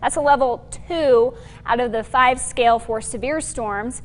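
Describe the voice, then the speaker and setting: Over noticeable background noise, a woman talks at a moderate pace in a high voice. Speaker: TV meteorologist. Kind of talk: TV weather forecast.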